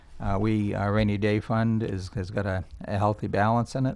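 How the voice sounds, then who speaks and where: Intonation stays monotone and flat. The man's pitch is fairly low. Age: 60s. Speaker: state legislator. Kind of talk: political interview. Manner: halting.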